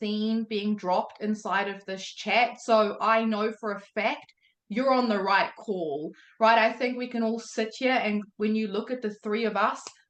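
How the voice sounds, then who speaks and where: A woman speaks at a moderate pace with a New Zealand accent. Her pitch sits fairly high. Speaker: day trading mentor. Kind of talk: motivational talk on live call. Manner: animated.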